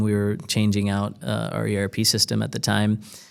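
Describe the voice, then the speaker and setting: Against a silent background in a very clean recording, a man speaks with a fairly low pitch. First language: Spanish. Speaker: corporate development director. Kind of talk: podcast interview. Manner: many filler words (um, uh).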